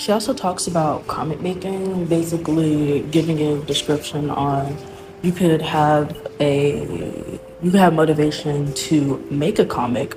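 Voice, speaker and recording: Over music in the background, the speaker talks at a fairly slow pace with ordinary pitch variation. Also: woman, very deep, low pitch for a woman. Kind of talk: casual talk to camera.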